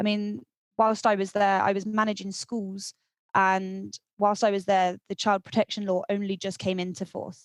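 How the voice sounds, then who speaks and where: Her medium-pitched voice is monotone and flat as the woman talks at a moderate pace, the sound dry and close with no echo. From southwest England. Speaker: event photographer. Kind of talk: podcast interview. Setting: podcast recording.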